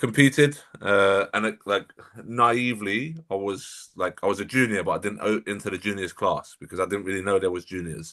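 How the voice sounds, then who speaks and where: In a London accent, a man with a fairly low pitch and a bright, sharp tone speaks at a moderate pace with ordinary pitch variation against a quiet background. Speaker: bodybuilding coach. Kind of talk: casual podcast interview.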